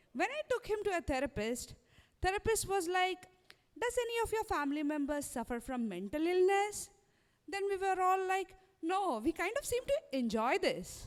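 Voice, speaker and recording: A woman's extremely high pitch with very wide pitch swings at a moderate pace. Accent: Indian. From India. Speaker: stand-up comedian. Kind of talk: stand-up. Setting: stage with audience.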